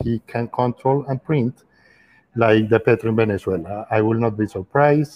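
A man's voice with fairly even intonation. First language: Spanish. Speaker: former government official. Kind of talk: casual chat. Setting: video call.

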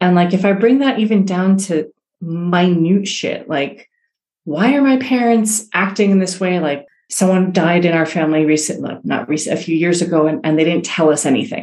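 With an ordinary speaking voice, a woman uses a medium pitch, ordinary pitch variation and a moderate pace. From New York City (Queens), born in Iran. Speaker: cultural intelligence specialist. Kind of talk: interview.

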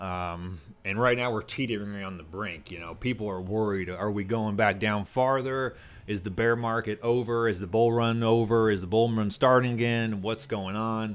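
A man with a plain, everyday voice speaks at a moderate pace, his fairly low pitch held in fairly even intonation. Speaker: guest, former powerlifter and crypto entrepreneur. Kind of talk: casual chat. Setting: studio.

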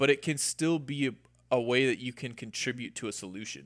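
A man with an American accent, medium pitch and ordinary pitch variation, at a fairly quick pace on a very clean recording with a silent background. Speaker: podcast guest. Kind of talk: casual conversation. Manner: animated.

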